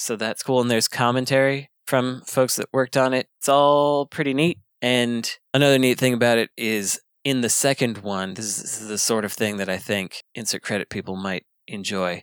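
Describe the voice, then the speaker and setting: A man's plain, everyday voice, medium in pitch with ordinary pitch variation, in a dry, close sound with no echo. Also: moderate pace. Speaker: podcast co-host. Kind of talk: casual panel podcast banter.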